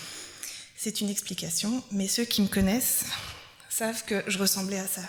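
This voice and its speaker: Noticeable background noise and audible room echo fill the recording. A woman speaks at a fairly slow pace. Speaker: preacher. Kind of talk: sermon.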